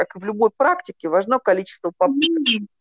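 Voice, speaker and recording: A woman's voice swings very widely in pitch, with a dry, close sound and no echo. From Russia, Nizhny Novgorod. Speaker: psychologist and hypnotherapist. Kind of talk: interview.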